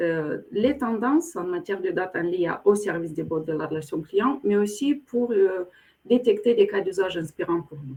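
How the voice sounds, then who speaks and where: With a slight Moldovan accent, the speaker uses a dark, mellow tone and very wide pitch swings at a moderate pace. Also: woman. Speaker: corporate program director. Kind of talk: webinar interview. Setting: online webinar. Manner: hesitant, many fillers.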